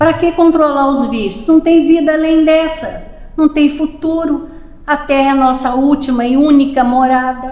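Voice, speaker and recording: A woman's high-pitched voice, fairly slow and fairly even, with noticeable background noise and audible room echo. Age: 70s. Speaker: spiritist lecturer. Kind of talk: lecture. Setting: public meeting at a spiritist center.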